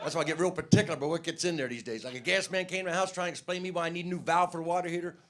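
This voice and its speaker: A man speaks at a high pitch and a very fast pace, with hardly any pauses. His intonation stays fairly even over noticeable background noise. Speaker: stand-up comedian. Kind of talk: stand-up.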